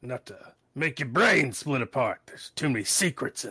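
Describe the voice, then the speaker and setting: A man speaks in a put-on character voice at medium pitch, with a weary tone and lively intonation. His loudness swings widely, and his pace is moderate. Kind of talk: noir detective monologue. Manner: gruff, brooding, world-weary.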